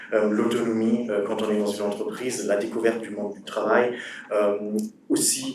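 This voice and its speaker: A man with a German accent speaks at a medium pitch in a monotone, flat intonation, with audible room echo and noticeable background noise. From Germany. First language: German (speaking French). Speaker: former cross-border apprentice, student. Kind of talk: panel talk. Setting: conference with audience. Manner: halting, many fillers.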